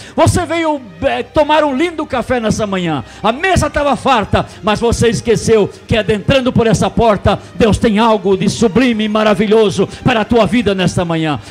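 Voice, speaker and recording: A man's high-pitched voice with lively intonation, at a moderate pace with hardly any pauses, over music in the background. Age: 60s. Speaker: pastor. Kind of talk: sermon. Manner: animated.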